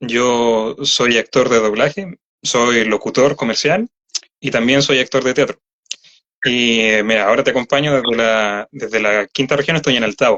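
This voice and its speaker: A man speaks at a medium pitch with a Chilean accent. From Chile, Santiago metropolitan region. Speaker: voice actor. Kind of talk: interview. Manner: halting.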